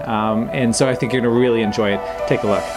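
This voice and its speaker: A man talks at a fairly quick pace, with noticeable background noise throughout. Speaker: flight school staff host. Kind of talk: video intro talk to camera. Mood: friendly and upbeat. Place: office.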